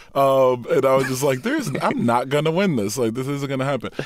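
Speaking at a very fast pace with an American accent, this man has a medium pitch and ordinary pitch variation over noticeable background noise. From Detroit area, Michigan. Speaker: artist and activist. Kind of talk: interview.

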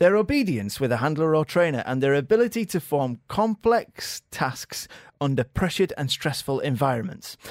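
A man speaks at a fairly high pitch, his pitch swinging very widely. The recording is very clean with a silent background, and the sound is dry and close with no echo. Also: moderate pace. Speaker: radio producer. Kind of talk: casual chat. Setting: radio studio.

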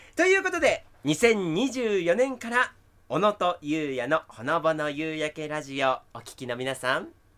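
Speaking at a fairly slow pace, a man with a bright, sharp tone makes very wide pitch swings. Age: 20s. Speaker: TV announcer. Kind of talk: casual chat. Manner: animated.

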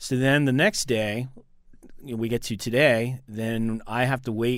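A plain, everyday voice from a man, medium in pitch and fairly slow, with fairly even intonation and a very clean recording over a silent background. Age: 50s. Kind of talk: radio interview.

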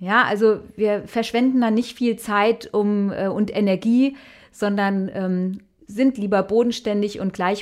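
At medium pitch, a woman with a Hessian accent speaks with fairly even intonation. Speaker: musician. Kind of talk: interview.

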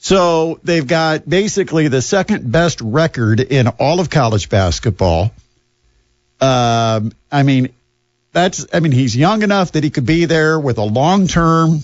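Using an ordinary speaking voice, a man talks at a fairly slow pace with a fairly high pitch, lively intonation, and very even loudness. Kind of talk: radio dj patter. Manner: brisk, upbeat sign-on and sign-off patter that plugs the station and schedule.

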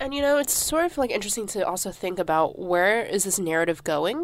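A woman with an American accent talks at a fairly quick pace, with lively intonation, in a normal speaking voice. The recording is very clean, with a silent background. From United States. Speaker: graduate student. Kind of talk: casual chat.

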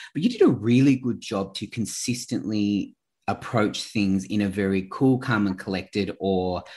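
A man with an Australian accent speaks fairly slowly at a fairly low pitch with fairly even intonation, on a very clean recording with a silent background. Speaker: podcast host. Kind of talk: casual interview.

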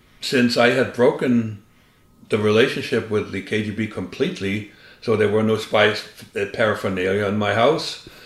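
A man with a German accent, fairly low in pitch, at a moderate pace with fairly even intonation. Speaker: former spy. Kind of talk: interview.

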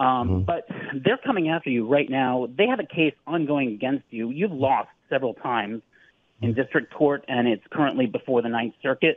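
A man with an American accent, medium in pitch, fairly quick and with lively intonation. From California. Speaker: caller. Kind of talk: challenging call-in question. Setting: phone call. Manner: halting.

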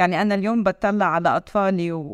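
A Palestinian accent with ordinary pitch variation on a very clean recording with a silent background. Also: woman. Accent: Palestinian Levantine Arabic. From Palestinian citizen of Israel (1948 territories). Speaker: TV news correspondent. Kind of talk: interview conversation.

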